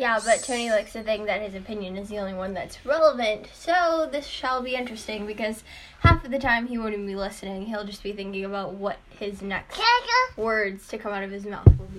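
A fairly high-pitched woman with an American accent at a fairly quick pace, hardly any pauses, ordinary pitch variation and big swings in loudness, over noticeable background noise. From Chicago. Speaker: podcast co-host. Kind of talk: casual debate.

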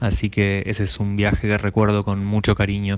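A man speaks at a fairly low pitch over a quiet background. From Argentina, northern Neuquén. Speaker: radio listener sending a voice message. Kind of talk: recorded listener anecdote. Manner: halting, many repetitions.

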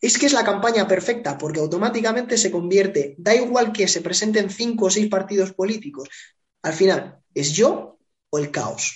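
A high-pitched man with a Spanish accent, moderate pace and ordinary pitch variation. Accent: Peninsular Spanish. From Spain. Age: 30s. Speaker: political consultant. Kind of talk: interview.

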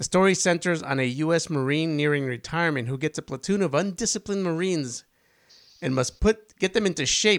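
A normal speaking voice at a fairly quick pace with ordinary pitch variation, in a very clean recording with a silent background. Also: man. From Spanish-speaking country, moved to US as child. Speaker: podcast co-host. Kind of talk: casual chat.

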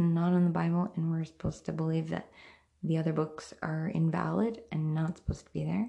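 A woman speaks at a moderate pace, somewhat breathy. Her intonation is monotone and flat. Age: 30s. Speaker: podcast host. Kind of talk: religious monologue. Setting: at home, far end of house; in a car, driving. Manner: hesitant with fillers.

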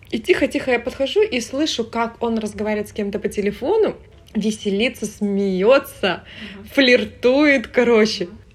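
The pace is moderate, with ordinary pitch variation and big swings in loudness. Noticeable background noise can be heard. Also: woman, fairly high pitch for a woman. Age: 30s. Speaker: florist and entrepreneur. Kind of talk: casual chat.

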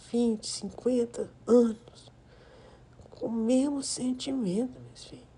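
A woman speaks very slowly in a fairly high pitch. Her tone is dark and mellow, gentle and soothing. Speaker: grandmother figure, podcast persona. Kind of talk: intimate grandmotherly monologue, warm ASMR-style chat and advice to her 'children'. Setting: recording alone on a phone app, voice only. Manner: gentle, affectionate and soothing, blessing listeners as she winds down.

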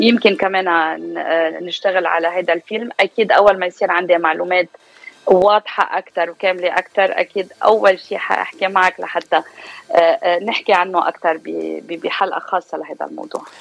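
Against noticeable background noise, a woman talks at medium pitch and a moderate pace with fairly even intonation, the sound dry and close with no echo. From Lebanon (Beirut), raised in US from age 4. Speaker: media presenter and actress. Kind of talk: radio interview.

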